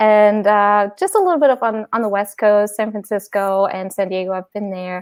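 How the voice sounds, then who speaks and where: A woman's medium-pitched voice at a moderate pace, with fairly even intonation and hardly any pauses, in a dry, close sound with no echo. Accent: German. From Germany. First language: German. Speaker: design consultant. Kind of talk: casual interview chat.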